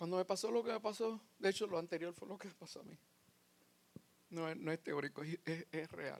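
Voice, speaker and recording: A man with a high pitch speaks at a moderate pace and ordinary pitch variation. His loudness swings widely. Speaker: lay preacher. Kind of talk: testimony.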